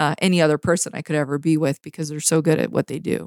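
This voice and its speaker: A woman with a Canadian accent talks at a very fast pace in a fairly low voice. The sound is dry and close, with no echo. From Canada, Vancouver BC (North Shore). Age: 30s. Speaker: photographer. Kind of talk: interview conversation. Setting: remote recording from home.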